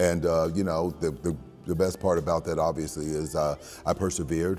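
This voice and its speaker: Over music in the background, a resonant voice moves at a fairly quick pace with fairly even intonation. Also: man, very deep, low pitch for a man. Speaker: voice actor. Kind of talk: interview answer. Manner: speech impediment.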